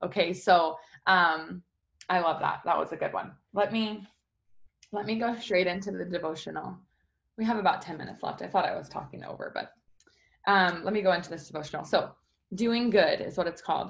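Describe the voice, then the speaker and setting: A woman speaks in an animated tone at a medium pitch with ordinary pitch variation. She leaves long, frequent pauses. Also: fairly quick pace. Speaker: morning devotional video host. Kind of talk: casual motivational devotional talk. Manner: loud.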